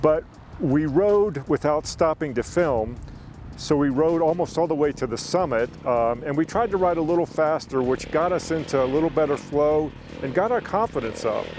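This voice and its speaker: A man uses a plain, everyday voice, pitched fairly high, with ordinary pitch variation. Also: moderate pace. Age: 60s. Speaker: motorcycle rider. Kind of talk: casual explainer talk to camera.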